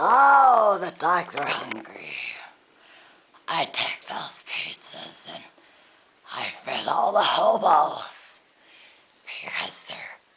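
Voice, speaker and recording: A put-on character voice, raspy and fairly high in pitch, at a very slow pace with long, frequent pauses. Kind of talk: comedy skit.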